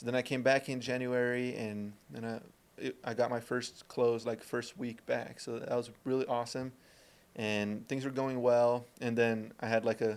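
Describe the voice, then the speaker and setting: A man of medium pitch with monotone, flat intonation. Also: moderate pace. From Brazil. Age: 20s. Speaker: door-to-door salesman. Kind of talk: interview.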